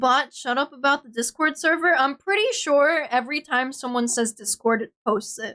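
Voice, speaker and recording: Projecting a raised voice, a woman speaks at a moderate pace with hardly any pauses, a high pitch with ordinary variation, and a bright, sharp tone, recorded dry and close with no echo. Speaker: VTuber streamer. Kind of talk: casual chat. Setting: livestream. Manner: animated.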